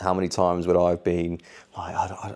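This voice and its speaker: Recorded very cleanly against a silent background, a man with a British accent speaks in a very deep, low pitch with a dark, mellow tone. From Tenerife and England. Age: 20s. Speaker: vlogger and fitness coach. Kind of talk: casual vlog Q&A.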